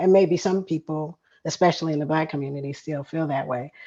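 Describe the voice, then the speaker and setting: Against a quiet background, the speaker goes at a fairly quick pace with a dark, mellow tone. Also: woman. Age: 60s. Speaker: retired environmental chemist. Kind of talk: conversational panel dialogue. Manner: halting, with frequent fillers.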